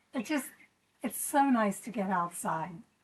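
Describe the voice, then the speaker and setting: A woman's somewhat breathy voice, gentle in tone, with lively intonation. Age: 60s. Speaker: yoga instructor. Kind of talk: guided exercise class. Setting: outdoors on a deck.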